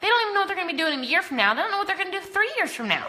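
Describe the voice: A woman with an American accent speaks very fast in an extremely high voice. Her tone is bright and sharp, and her pitch swings widely.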